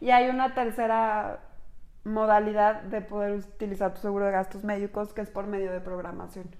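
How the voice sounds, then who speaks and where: A woman speaks in a Mexican accent at a medium pitch. Her pace is moderate and her intonation is flat and monotone. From Mexico. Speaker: insurance agent and podcast host. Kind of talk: casual explanatory chat.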